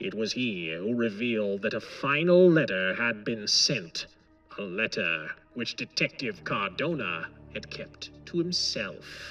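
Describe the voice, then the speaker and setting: A man's put-on character voice at a medium pitch, fairly slow in pace, with very wide pitch swings and faint music in the background. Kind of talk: pulp audiobook character voice. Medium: read story. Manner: quiet, measured, commanding.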